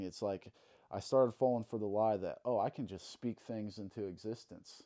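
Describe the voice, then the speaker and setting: A man with a Midwestern American accent, fairly low pitch and a dark, mellow tone, at a moderate pace with monotone, flat intonation, on a very clean recording with a silent background. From Illinois, Alton. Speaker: tattoo artist. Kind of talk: testimony.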